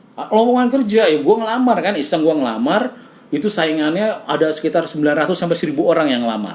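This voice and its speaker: A man's shrill, high-pitched voice at a very fast pace, with very wide pitch swings, hardly any pauses, audible room echo and noticeable background noise. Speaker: radio host and comedian. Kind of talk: casual chat.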